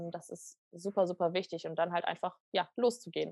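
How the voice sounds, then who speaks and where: A woman speaks in a normal speaking voice, at a medium pitch and a moderate pace. Her intonation is fairly even, and the sound is dry and close with no echo. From western Germany, near Düsseldorf. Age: 20s. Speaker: coaching program participant. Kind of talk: podcast interview.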